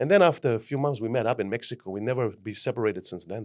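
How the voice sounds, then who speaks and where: A man with a German accent talks at a very fast pace, with medium pitch and ordinary pitch variation, on a very clean recording with a silent background. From Germany. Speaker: life mentor. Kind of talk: podcast interview. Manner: animated.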